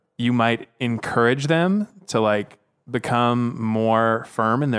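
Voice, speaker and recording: Here is a man with a plain, everyday voice. His medium pitch shows ordinary pitch variation. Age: 20s. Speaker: podcast guest. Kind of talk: casual chat.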